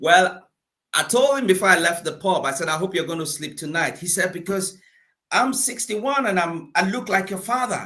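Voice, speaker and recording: A man's raised, projected voice in a Nigerian accent, high-pitched with a bright, sharp tone, lively intonation, and a moderate pace. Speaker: motivational speaker and coach. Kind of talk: interview.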